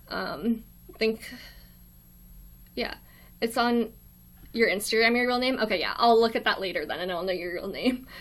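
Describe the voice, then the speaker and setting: A woman with an American accent talks at a fairly high pitch with ordinary pitch variation. Her pace is moderate, broken by long, frequent pauses. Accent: very American. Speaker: college student live streamer. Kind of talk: casual live stream chat. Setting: live stream in a quiet dorm room. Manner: awkward, hesitant with many ums.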